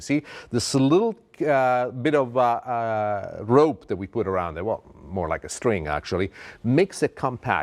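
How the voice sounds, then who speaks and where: A man speaks with an Italian accent at a moderate pace. The recording is very clean, with a silent background. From Italy. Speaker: TV chef. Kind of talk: cooking show presentation. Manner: animated.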